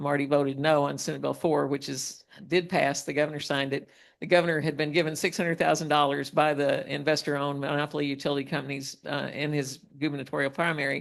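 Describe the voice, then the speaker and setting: Over a quiet background, a woman with a very deep, low voice and vocal fry talks very fast in a flat monotone. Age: 70s. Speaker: retired activist. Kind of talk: panel discussion. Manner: halting, repeats words.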